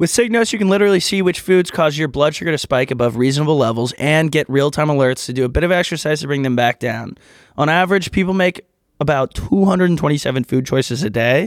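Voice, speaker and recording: A man's fairly high voice, an ordinary speaking voice, with lively intonation at a fairly quick pace, on a very clean recording with a silent background. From Texas. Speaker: podcast co-host. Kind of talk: casual chat.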